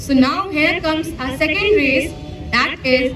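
With faint music in the background, a woman speaks at a very slow pace in a high pitch with ordinary pitch variation. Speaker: event announcer. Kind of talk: event announcement. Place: stadium.

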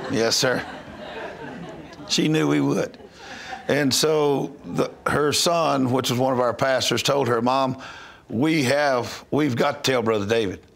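With a Southern US accent, a man talks at a very slow pace with long, frequent pauses, ordinary pitch variation and very even loudness. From North Louisiana, USA. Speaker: missionary minister. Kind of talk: interview answer. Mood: earnest, calm storytelling. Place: studio. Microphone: lapel.

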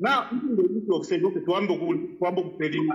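The speech keeps a moderate pace while the pitch swings very widely. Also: man, quiet background. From Zambia. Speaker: caller. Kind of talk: phone-in call. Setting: phone call. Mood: serious, earnest. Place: home room. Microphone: phone near.

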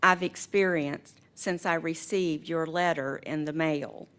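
At a fairly slow pace, a woman talks in an ordinary speaking voice with fairly low pitch. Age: 60s. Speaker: resident speaking in opposition. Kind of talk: public comment. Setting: county board meeting.

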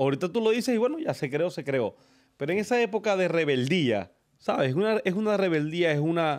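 Against a quiet background, a man with a high pitch talks at a fairly quick pace in an animated tone with lively intonation. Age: 30s. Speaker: podcast host. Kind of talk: casual chat. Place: studio. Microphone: studio mic.

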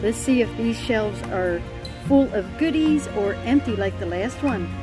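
Someone talks at a moderate pace while clear music plays in the background. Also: woman. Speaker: thrift reseller vlogger. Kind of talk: casual vlog chat. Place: street. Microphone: phone near.

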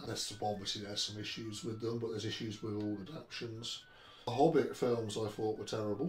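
Amid light background noise and audible room echo, a man at a medium pitch talks at a very fast pace with ordinary pitch variation. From England. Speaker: Tolkien book collector; interviewee. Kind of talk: interview. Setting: at home. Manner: halting. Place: home room.

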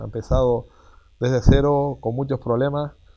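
A man speaks in a dark, mellow tone at a moderate pace. His intonation stays monotone and flat. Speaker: mayor. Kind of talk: casual interview. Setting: outdoors. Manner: halting, repeats words.

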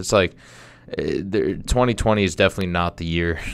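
A man speaks in a very deep, low voice. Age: 20s. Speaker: podcast host. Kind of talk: casual monologue; casual vlog chat. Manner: halting. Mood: somber, reflective. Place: studio. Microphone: studio mic.

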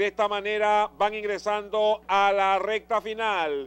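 This man talks in a high-pitched voice. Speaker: race caller. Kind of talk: live horse race commentary.

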